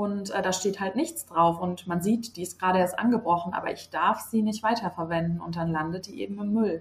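A woman with an ordinary speaking voice talks in a medium pitch, her pitch varying an ordinary amount. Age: 20s. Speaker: nurse. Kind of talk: interview.

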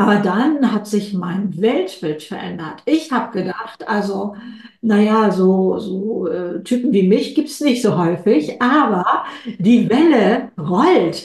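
A woman's medium-pitched voice with lively intonation at a very slow pace, audible room echo and noticeable background noise. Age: 70s. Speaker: author and keynote speaker. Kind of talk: interview. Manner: energetic.

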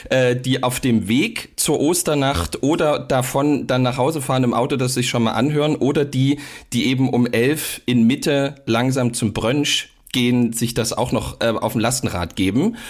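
A man with a normal speaking voice at a medium pitch, ordinary pitch variation and a moderate pace, in a very clean recording with a silent background. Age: 30s. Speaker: pastor and podcast co-host. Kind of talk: casual chat.

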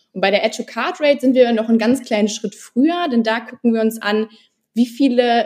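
A woman with a fairly high pitch and ordinary pitch variation speaks in a plain, everyday voice. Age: 20s. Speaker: former working student, e-commerce researcher. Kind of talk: podcast interview.

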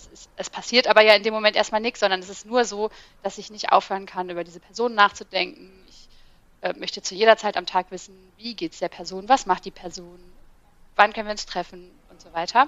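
A woman's medium-pitched voice, an ordinary speaking voice, fairly quick, with fairly even intonation and big swings in loudness. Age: 30s. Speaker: ADHD content creator. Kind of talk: casual chat.

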